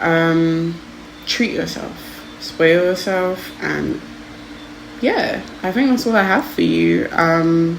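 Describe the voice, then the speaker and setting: A woman speaks at a very slow pace. Noticeable background noise and audible room echo fill the recording. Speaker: tarot card reader. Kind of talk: pick-a-card tarot reading. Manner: stuttering a lot; casual, hesitant with fillers.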